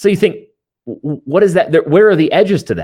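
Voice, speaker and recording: A man's voice with vocal fry. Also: very clean recording, silent background. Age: 20s. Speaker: pastor. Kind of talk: interview on theology.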